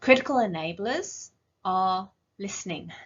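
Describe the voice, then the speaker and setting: Here a woman speaks with an English accent. Her medium-pitched voice is somewhat breathy. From northern England. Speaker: rare disease clinician or advocate. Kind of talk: conference presentation. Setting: virtual conference.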